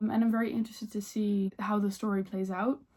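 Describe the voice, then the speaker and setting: A woman with a Dutch accent speaks at a moderate pace in a fairly high pitch. Her tone is dark and mellow, and somewhat breathy. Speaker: book vlogger. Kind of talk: casual chat.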